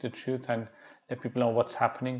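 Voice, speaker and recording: Here a man talks at a medium pitch. He is soft-spoken. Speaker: Islamic teacher. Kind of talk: lecture. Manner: halting.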